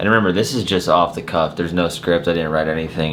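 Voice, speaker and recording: A man speaks with a very deep, low voice and fairly even intonation. Room echo is audible, and background noise is noticeable. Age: 20s. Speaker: car enthusiast YouTuber. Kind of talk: unscripted talking-head rant. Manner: casual, filler-heavy with repeated 'like'.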